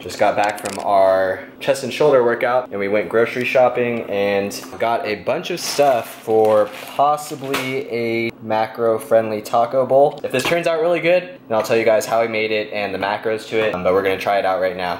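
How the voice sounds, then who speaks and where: Speech moves at a moderate pace with hardly any pauses. Pitch varies in an ordinary way over noticeable background noise. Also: man. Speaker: fitness vlogger. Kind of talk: casual vlog chat. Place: kitchen. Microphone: phone near.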